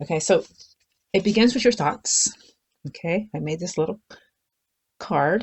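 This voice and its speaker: A woman with a medium-pitched, somewhat breathy voice speaks at a moderate pace with lively intonation and long, frequent pauses. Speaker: spiritual content creator. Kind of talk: unscripted talk to camera. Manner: slurred words; casual, rambling with fillers.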